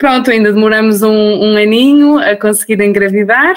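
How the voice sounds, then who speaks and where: A woman talks with ordinary pitch variation. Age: 30s. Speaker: new mother sharing birth story. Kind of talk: interview testimony.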